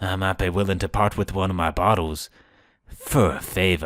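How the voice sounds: Doing a put-on character voice, a man speaks raspy and very deep at a moderate pace with fairly even intonation. The recording is very clean and the background silent.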